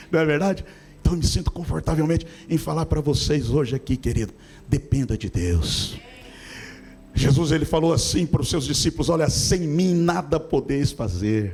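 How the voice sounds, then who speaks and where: A man's fairly high voice with lively intonation, a moderate pace and noticeable background noise. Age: 60s. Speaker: pastor. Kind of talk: sermon.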